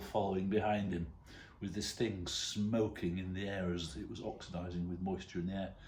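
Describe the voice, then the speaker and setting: Audible room echo surrounds a man's voice. He sounds somewhat breathy. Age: 60s. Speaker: retired father telling stories. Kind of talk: casual anecdote to camera.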